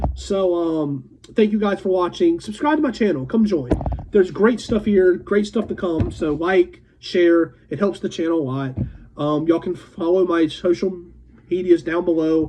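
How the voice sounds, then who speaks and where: Over music in the background, a man with a high pitch speaks at a moderate pace with ordinary pitch variation. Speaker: music reviewer. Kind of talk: casual review vlog. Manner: halting, many fillers and restarts.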